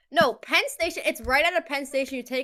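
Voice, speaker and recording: A woman with a New York accent, her tone bright and sharp, her pace very fast. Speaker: live stream co-host. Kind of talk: casual chat. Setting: live stream.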